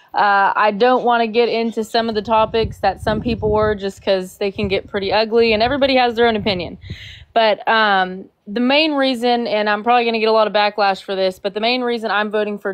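A woman with an unremarkable speaking voice, fairly high in pitch, at a fairly quick pace. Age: 20s. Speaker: caller on live debate stream. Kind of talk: casual debate.

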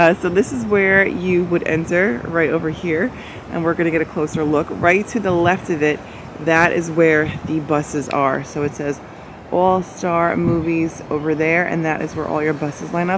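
A woman's fairly low voice, dry with no echo, against noticeable background noise. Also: fairly even intonation, moderate pace. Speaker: travel vlogger. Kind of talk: casual vlog chat. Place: street. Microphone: phone near.

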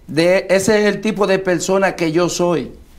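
A man with a high pitch and fairly even intonation. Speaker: local political candidate, former baseball player. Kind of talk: interview.

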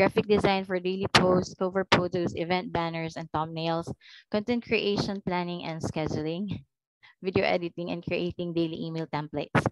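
A woman with a normal speaking voice talks at a moderate pace in a fairly low pitch, her intonation fairly even. The sound is dry with no echo, with light background noise. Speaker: virtual assistant. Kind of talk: job interview. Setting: video call. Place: home room. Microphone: headset.

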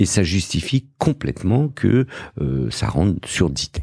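Very slow and very deep, a man's voice has a dark, mellow tone with vocal fry and very wide pitch swings. The sound is dry and close with no echo. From Morocco, raised in Paris suburbs. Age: 50s. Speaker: entrepreneur and investor. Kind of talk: interview. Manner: hesitant, many fillers.

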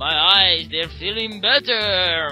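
A put-on character voice at middle pitch comes through over clear music in the background. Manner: playful.

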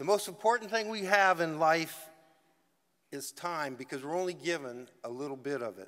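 A man with an American accent speaks at a moderate pace and a fairly high pitch. His tone is bright and sharp, and the background is quiet. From US South, Georgia (Macon); Georgia. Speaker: retired football player. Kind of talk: acceptance speech. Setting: stage with audience. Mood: grateful, emotional. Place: hall. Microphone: podium.

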